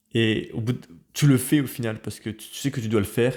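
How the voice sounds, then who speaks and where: A man talks in a normal speaking voice at medium pitch, with fairly even intonation. His pace is fairly quick, and the recording is very clean with a silent background. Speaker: researcher and educational youtuber. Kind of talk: personal advice monologue.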